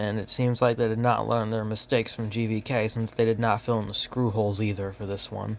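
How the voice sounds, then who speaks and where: Using a plain, everyday voice, a man speaks at medium pitch with fairly even intonation. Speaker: toy collector youtuber. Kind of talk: toy review showcase.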